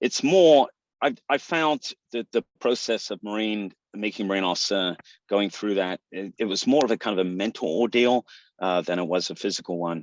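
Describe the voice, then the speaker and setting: In a British accent, the speech runs at a moderate pace with a dry, close sound, no echo, and a quiet background. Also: man, fairly low pitch for a man, ordinary pitch variation. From England. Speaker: retired military officer. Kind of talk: interview. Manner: halting.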